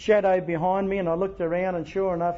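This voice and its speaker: This man talks at a fairly quick pace with an Australian accent, his high voice staying monotone and flat. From Australia, Wagga Wagga NSW. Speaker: AA speaker. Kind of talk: testimony. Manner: halting.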